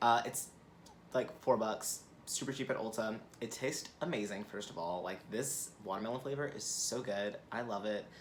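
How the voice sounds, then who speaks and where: A man uses a normal speaking voice at a medium pitch and moderate pace, with ordinary pitch variation. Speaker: beauty YouTuber. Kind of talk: product review vlog. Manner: casual, filler-heavy.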